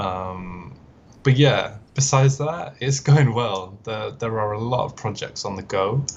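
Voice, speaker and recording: Somewhat breathy, a man talks at a fairly slow pace with lively intonation and a medium pitch. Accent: British. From northern England, Manchester. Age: 20s. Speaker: automotive concept artist. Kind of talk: podcast interview. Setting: live stream.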